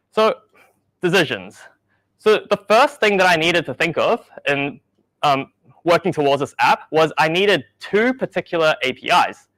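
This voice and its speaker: With a New Zealand accent, a man speaks at a high pitch and moderate pace, his tone bright and sharp, his intonation lively, and the sound dry and close with no echo. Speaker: software engineer. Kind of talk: conference talk.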